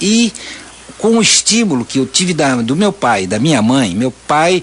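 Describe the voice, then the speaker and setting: A man speaks at a fairly slow pace. Noticeable background noise can be heard. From Santa Catarina, Brazil. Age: 70s. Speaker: visual artist. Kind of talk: radio interview. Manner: halting, many self-repetitions.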